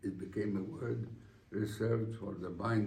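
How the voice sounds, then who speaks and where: Audible room echo carries a man's dark, mellow voice at a fairly low pitch with vocal fry. He keeps a moderate pace and ordinary pitch variation. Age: 80s+. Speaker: honoree giving acceptance speech. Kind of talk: formal speech. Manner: formal.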